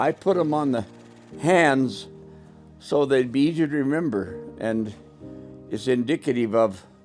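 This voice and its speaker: A man's medium-pitched voice with very wide pitch swings, a fairly slow pace and long, frequent pauses over background music. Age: 80s+. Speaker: grandfather giving wedding advice. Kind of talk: casual advice talk.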